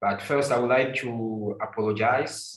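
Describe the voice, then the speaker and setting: A man with a French accent speaks in a fairly even intonation, with audible room echo. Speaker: architect and anthropologist. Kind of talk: unprepared talk. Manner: halting. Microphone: slightly quiet, far from mic.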